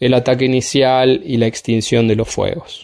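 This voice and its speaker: In a plain, everyday voice, a man talks at a moderate pace with a fairly high pitch. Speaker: fire specialist. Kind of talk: radio interview.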